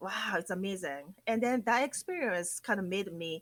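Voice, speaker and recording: A woman talks at a moderate pace with a Japanese accent. Her medium-pitched voice has lively intonation. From Japan, Akita prefecture. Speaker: sake PR company president. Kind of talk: interview. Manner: animated.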